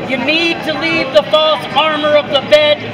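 The voice carries an intense tone, with crowd noise in the background. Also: man. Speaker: poet performing in public. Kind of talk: poetry performance, spoken-word poem performed in public. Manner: intense, urgent, second-person exhortation, building to a forceful command. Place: street. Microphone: phone near.

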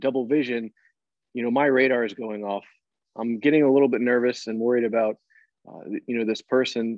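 At a moderate pace and with fairly even intonation, the voice comes through dry with no echo over a quiet background. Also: man. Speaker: emergency physician. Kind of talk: teaching discussion. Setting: video call. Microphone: earbuds.

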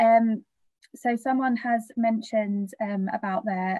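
A somewhat breathy voice with ordinary pitch variation comes through over a quiet background. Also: woman. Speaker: charity webinar moderator. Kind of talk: webinar Q&A moderation. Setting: video call. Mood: warm, gentle, sensitive topic. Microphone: video call.

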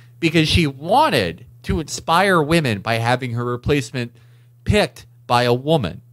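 With an unremarkable speaking voice, a man talks at a moderate pace in a medium pitch, his intonation lively. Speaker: political podcast co-host. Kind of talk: casual political chat.

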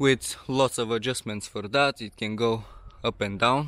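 A man at a very slow pace with fairly even intonation, in a dry sound with no echo against a quiet background. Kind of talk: casual tutorial walkthrough. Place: garden. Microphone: phone near.

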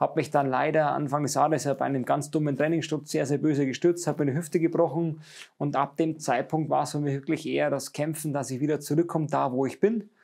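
At a very fast pace, a man speaks with fairly even intonation against a quiet background. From Bavaria, Munich area; Bavaria. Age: 30s. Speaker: speedway racer; interviewee. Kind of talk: interview. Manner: halting. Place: workshop. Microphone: lapel.

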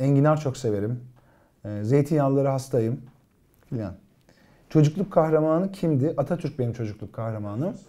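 A fairly high-pitched man with a dark, mellow tone talks at a moderate pace, pausing long and often. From Turkey, Gaziantep; Turkey. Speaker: TV actor and writer; actor answering fan questions. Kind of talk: casual live-stream Q&A. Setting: live stream, alone reading viewer comments. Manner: hesitant, many filler sounds. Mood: relaxed, warm. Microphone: lapel.

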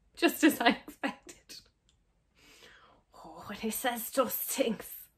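A woman whispering at a very slow pace. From Ireland. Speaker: actor. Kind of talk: casual reaction to camera. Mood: amused, exasperated. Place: home room.

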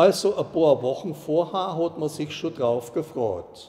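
A man in a Saxon accent talks at a very slow pace with lively intonation. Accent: Ore Mountains dialect. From Ore Mountains, Bohemia. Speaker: dialect storyteller. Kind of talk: dialect story reading. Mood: calm, nostalgic. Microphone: lapel.

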